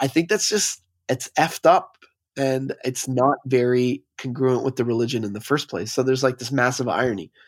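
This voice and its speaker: A man with a Canadian accent has a normal speaking voice at a medium pitch with ordinary pitch variation. He keeps a moderate pace on a very clean recording with a silent background. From Montreal, Quebec. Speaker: DJ and music producer. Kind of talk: casual interview chat.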